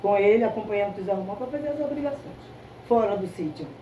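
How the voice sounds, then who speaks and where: A woman speaks with lively intonation. Audible room echo and noticeable background noise come through. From Brazil, Recife, Pernambuco. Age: 70s. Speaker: candomblé priestess. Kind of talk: interview. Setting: at the temple.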